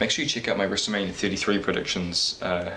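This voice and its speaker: Speech comes at a very fast pace in a monotone, flat intonation, with audible room echo and noticeable background noise. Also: man. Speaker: wrestling YouTuber. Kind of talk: casual vlog predictions. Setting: home at night, parents asleep. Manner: speaking quietly; halting.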